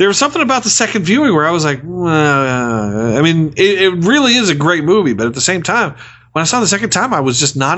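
Speaking very fast with hardly any pauses, a man in a fairly high pitch keeps his loudness very even while his animated tone swings very widely in pitch. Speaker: movie review podcast host. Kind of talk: casual banter, movie review podcast. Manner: animated, joking.

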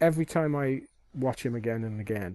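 Here a man speaks with a British accent in a dark, mellow tone. The recording is dry and close, with no echo. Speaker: podcast co-host. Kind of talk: casual chat.

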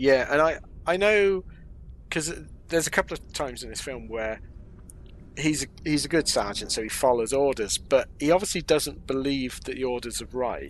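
At a moderate pace, a man with an English accent talks at a fairly high pitch with ordinary pitch variation. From England. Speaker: film podcast co-host. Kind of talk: casual chat.

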